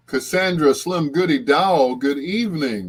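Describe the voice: A man speaks at a fairly slow pace with a fairly high pitch, a slightly husky edge and big pitch swings.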